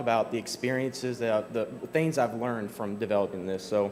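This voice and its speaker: A man speaks with a Kentucky accent at a medium pitch. His pace is fairly quick. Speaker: software developer, conference speaker. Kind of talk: conference talk. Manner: casual with many fillers.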